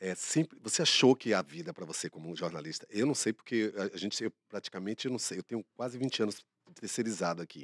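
Lively intonation marks this man's fairly low voice, recorded with a dry, close sound with no echo. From Bahia, Brazil. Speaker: co-host. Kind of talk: casual chat.

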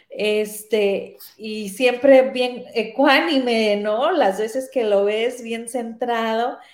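A woman with a fairly high pitch talks at a very slow pace with hardly any pauses and fairly even intonation, and audible room echo surrounds her. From Mexico, Sinaloa. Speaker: radio host. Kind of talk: casual interview.

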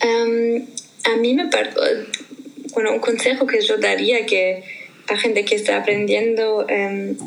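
In a space with audible room echo and noticeable background noise, a woman speaks at a very slow pace. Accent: German. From Germany. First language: German (speaking Spanish). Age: 20s. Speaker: language learner guest. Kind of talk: casual interview. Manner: hesitant with fillers.

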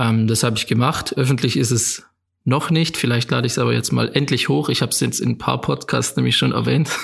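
A man talks at a fairly quick pace. His loudness stays very even throughout. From Germany, Swabia (near Rottweil). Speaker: photographer and filmmaker. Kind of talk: casual interview.

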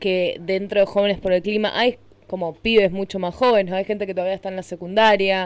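A woman with a Rioplatense accent, monotone and flat in intonation, at a fairly quick pace. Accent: Argentine Spanish (rioplatense). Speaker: radio host. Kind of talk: radio interview. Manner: halting.

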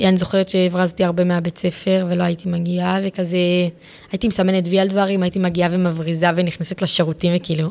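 The woman's intonation is monotone and flat. She moves along at a fairly quick pace. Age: 20s. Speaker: psychiatric inpatient sharing her story. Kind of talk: interview testimony. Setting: psychiatric ward. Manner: halting.

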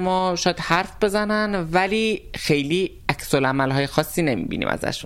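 A woman talks at a fairly slow pace. She has a plain, everyday voice. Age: 30s. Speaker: cook and transgender interviewee. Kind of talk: interview.

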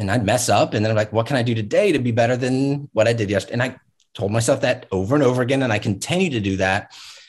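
In an American accent, a man talks at a very fast pace with medium pitch, ordinary pitch variation and a somewhat breathy sound. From Virginia Beach, Virginia. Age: 40s. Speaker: real estate agent and trainer. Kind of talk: interview conversation.

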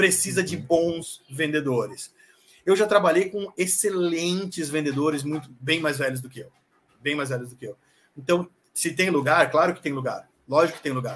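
A man with an unremarkable speaking voice talks at a fairly high pitch and a moderate pace. His pitch variation is ordinary, but his loudness swings widely. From Brazil, Santa Catarina (Florianópolis). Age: 40s. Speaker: sales executive. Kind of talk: interview. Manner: casual.

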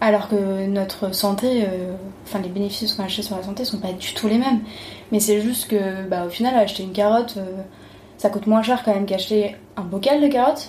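Amid noticeable background noise and audible room echo, a woman of medium pitch talks at a fairly quick pace with fairly even intonation. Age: 30s. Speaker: lawyer and traveler. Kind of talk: interview.

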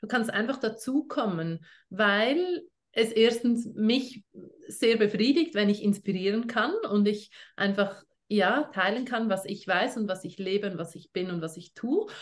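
A woman with a normal speaking voice talks at a fairly high pitch and fairly slow pace, her intonation lively. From Switzerland. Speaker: essential oils network marketing leader. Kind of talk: casual interview.

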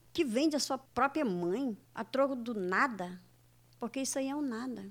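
A woman's high voice with lively intonation, on a very clean recording with a silent background. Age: 60s. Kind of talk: radio interview.

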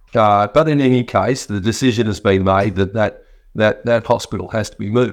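A man with an Australian accent talks at a moderate pace against a quiet background. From rural Western Australia. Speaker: state politician. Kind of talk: live stream talk and Q&A. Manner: halting, many fillers.

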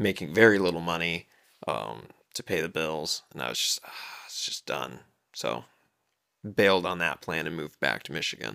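A man speaks at a moderate pace with lively intonation and vocal fry. His pitch is very deep and low, and long pauses come often. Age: 20s. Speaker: musician and mentor. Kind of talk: casual interview.

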